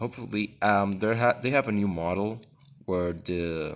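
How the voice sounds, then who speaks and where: A man with a fairly low voice, moderate pace and fairly even intonation. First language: not English. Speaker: unboxing video host. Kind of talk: product review. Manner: halting.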